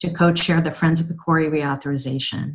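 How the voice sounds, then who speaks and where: With a very deep, low pitch, a woman speaks in a somewhat breathy voice against a quiet background. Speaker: nonprofit CEO. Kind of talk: prepared speech. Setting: virtual event video. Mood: warm, upbeat. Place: home room. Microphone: webcam.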